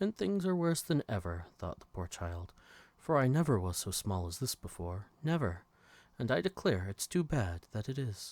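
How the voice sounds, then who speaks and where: In a very clean recording with a silent background and a dry, close sound free of echo, a man speaks in a calm tone with very wide pitch swings. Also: medium pitch for a man, moderate pace. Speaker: bedtime story narrator. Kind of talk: bedtime story reading. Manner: calm, relaxing.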